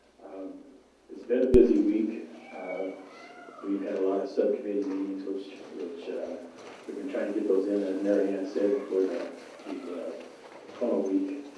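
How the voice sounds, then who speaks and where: A man speaks at a moderate pace with long, frequent pauses and big swings in loudness. Room echo is audible, and there is noticeable background noise. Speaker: state legislator. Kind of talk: public forum remarks. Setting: public meeting in school library. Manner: soft-spoken.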